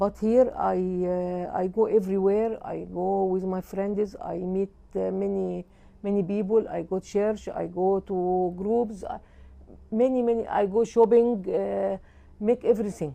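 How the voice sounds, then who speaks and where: A woman with an Egyptian accent, at a fairly slow pace. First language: Arabic. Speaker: service user. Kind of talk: testimonial interview. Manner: halting.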